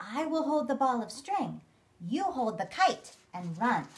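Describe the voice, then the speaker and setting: A woman's put-on character voice, high in pitch, fairly slow, with very wide pitch swings. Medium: read story.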